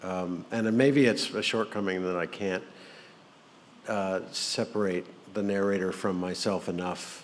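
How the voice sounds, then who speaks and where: A man with an American accent talks in an ordinary speaking voice, at a fairly slow pace, with a fairly low pitch and fairly even intonation. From Florida. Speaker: novelist. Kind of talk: panel discussion.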